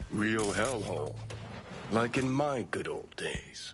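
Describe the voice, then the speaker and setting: A man puts on a character voice at a medium pitch. He talks at a fairly slow pace over clear background noise. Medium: video game. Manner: sarcastic.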